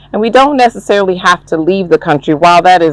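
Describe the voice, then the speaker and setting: Against noticeable background noise, a woman with an American accent speaks in a fairly low voice with ordinary pitch variation, the sound dry and close with no echo. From United States. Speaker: traditional chief. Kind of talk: interview.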